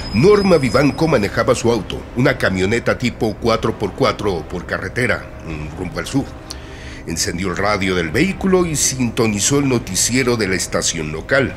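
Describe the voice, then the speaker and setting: Speech at a moderate pace, with noticeable noise in the background. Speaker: radio drama narrator. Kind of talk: horror story narration for radio. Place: studio.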